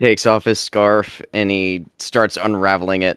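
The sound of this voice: An unforced reading voice is heard here.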